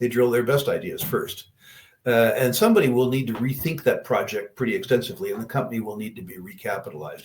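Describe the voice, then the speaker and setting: The voice is somewhat breathy. This man rushes along at a very fast pace. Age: 70s. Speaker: investor answering audience questions. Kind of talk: Q&A on investing.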